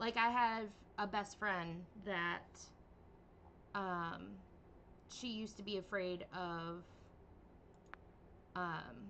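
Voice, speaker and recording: A woman with a medium-pitched, bright and sharp voice talks very slowly with long, frequent pauses and ordinary pitch variation, her words carrying audible room echo. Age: 30s. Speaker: vtuber game streamer. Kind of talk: casual livestream chat. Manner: hesitant, many fillers.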